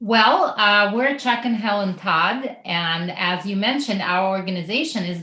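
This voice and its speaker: An ordinary pitch variation at a moderate pace in a Russian accent, with audible room echo and noticeable background noise. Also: woman. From Russia (former Soviet Union). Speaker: missionary organization co-founder. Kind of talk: podcast interview.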